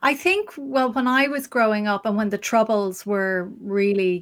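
A woman with an Irish accent, medium pitch and a fairly slow pace. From Ireland. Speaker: journalist and live stream interviewer. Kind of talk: interview on her live stream. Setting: live stream with remote guest.

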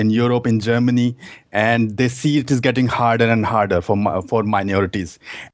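A man with an Indian accent talks at a moderate pace and medium pitch. His intonation is fairly even. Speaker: dating coach. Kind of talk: call-in conversation. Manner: halting.

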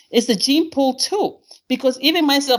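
A woman with a Spanish accent speaks in an animated tone. Her voice is high and her pace fairly quick. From Honduras. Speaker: caller. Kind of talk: call-in discussion.

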